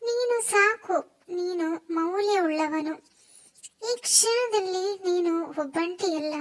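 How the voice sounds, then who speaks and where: Her pitch extremely high, a woman speaks with ordinary pitch variation. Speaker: ASMR content creator. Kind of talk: whispered ASMR sleep relaxation.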